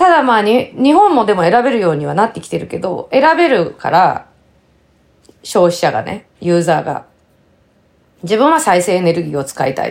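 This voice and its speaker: A woman's medium-pitched voice with vocal fry and very wide pitch swings. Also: moderate pace. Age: 50s. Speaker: podcast co-host. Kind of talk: casual chat.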